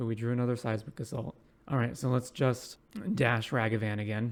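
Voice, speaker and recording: The voice is quiet. Its intonation is monotone and flat. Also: man. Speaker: Magic: The Gathering streamer. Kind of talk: live gameplay commentary. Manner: quiet, ASMR-like speaking.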